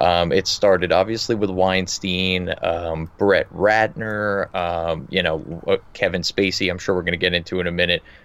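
Delivered in an American accent, the speech has fairly even intonation and hardly any pauses. The recording is very clean, with a silent background. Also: man, very deep, low pitch for a man, moderate pace. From New Jersey. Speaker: podcast co-host, politics correspondent. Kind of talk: casual chat.

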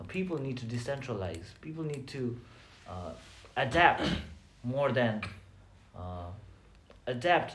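At a fairly slow pace, a man at medium pitch makes very wide pitch swings, with audible room echo and noticeable background noise. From Nepal. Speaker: psychology student. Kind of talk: casual chat.

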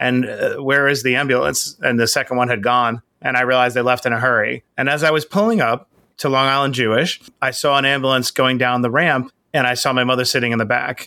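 A man with a New York accent talks at a very fast pace in a medium pitch, his tone bright and sharp, his intonation fairly even and his loudness very even, in a very clean recording with a silent background. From Queens, New York. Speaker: entrepreneur and author. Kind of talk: interview.

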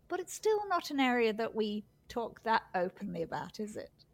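A woman speaks at a moderate pace. She has a normal speaking voice with a fairly high pitch. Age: 60s. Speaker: podcast host. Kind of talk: interview.

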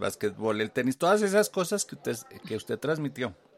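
With an ordinary speaking voice, a man talks at a fairly quick pace and fairly high pitch, his intonation lively. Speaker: podcast host. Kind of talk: interview.

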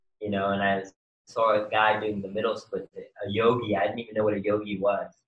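A man with a New York accent talks in a fairly low pitch. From New York City (Queens). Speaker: yoga instructor and skateboarder. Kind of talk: casual interview.

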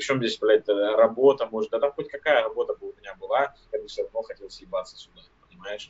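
Fairly quick male speech marked by big swings in loudness. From Siberia, village near Irkutsk. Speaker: podcast co-host. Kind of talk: casual chat.

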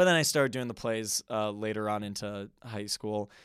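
A man with an American accent and an ordinary speaking voice talks at a moderate pace with ordinary pitch variation on a very clean recording with a silent background. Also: dry, close sound with no echo. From Wisconsin. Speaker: guest, performer. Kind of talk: casual interview chat. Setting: studio.

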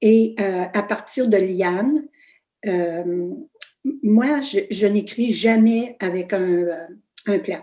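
A dark, mellow tone at a very slow pace, with ordinary pitch variation and long, frequent pauses. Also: woman, medium pitch for a woman. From northern Ontario, Canada (Fauquier, Kapuskasing). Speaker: author. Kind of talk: interview. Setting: video call.

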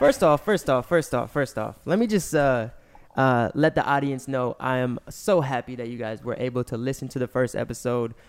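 A man with an unremarkable speaking voice and lively intonation, at a moderate pace. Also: very clean recording, silent background. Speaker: music artist and podcast host. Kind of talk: casual chat.

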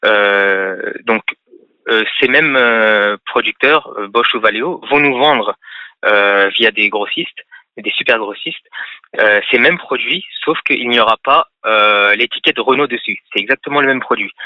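This man talks at a very slow pace, leaving long, frequent pauses. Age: 30s. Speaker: auto parts business owner. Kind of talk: radio call-in interview. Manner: halting.

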